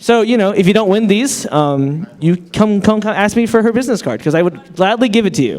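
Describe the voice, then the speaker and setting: Over noticeable background noise, a man speaks at a high pitch with lively intonation. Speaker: fan convention panelist. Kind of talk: convention panel giveaway. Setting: stage with audience.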